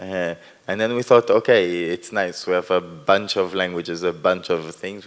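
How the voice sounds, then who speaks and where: Speaking in an Israeli accent, a man with a very deep, low voice keeps a moderate pace and fairly even intonation, while his loudness swings widely. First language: Hebrew. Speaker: performance artist. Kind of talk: post-performance talk. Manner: halting.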